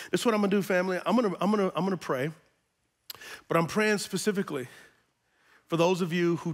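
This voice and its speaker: An animated tone over a quiet background. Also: man. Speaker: pastor. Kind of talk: sermon. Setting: church with congregation. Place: church. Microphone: headset.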